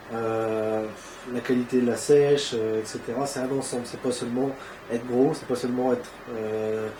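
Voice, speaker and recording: A man talks at a moderate pace in a medium pitch with monotone, flat intonation, with audible room echo and noticeable background noise. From northern France (Ardennes). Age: 20s. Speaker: amateur bodybuilder. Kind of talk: interview. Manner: hesitant, many fillers.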